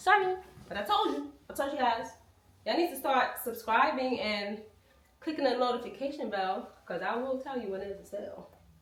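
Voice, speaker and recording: Very wide pitch swings at a fairly quick pace, with audible room echo and noticeable background noise. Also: woman, high pitch for a woman. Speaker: lifestyle vlogger. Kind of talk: casual vlog talk to camera.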